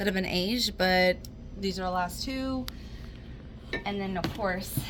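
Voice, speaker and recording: Someone with an American accent speaks at a fairly slow pace with ordinary pitch variation. Audible room echo and noticeable background noise fill the recording. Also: woman, medium pitch for a woman. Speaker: liquor store employee. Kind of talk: casual product walkthrough. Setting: inside a liquor store.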